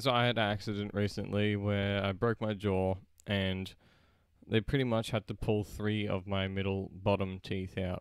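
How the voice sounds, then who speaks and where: A flat, monotone voice with an Australian accent speaks at a moderate pace. The recording is very clean, with a silent background. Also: man, fairly low pitch for a man. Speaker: gaming YouTuber. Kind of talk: casual live stream chat.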